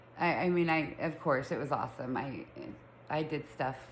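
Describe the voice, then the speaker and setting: A woman with an American accent speaks at a moderate pace with ordinary pitch variation, and audible room echo surrounds her voice. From Utah, Salt Lake City. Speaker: podcast host. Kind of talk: casual chat. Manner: chatty, filler-heavy.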